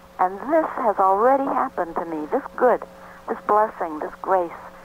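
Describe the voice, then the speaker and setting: Speaking at a moderate pace over noticeable background noise, a woman uses lively intonation at a medium pitch. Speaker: author. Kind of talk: radio interview.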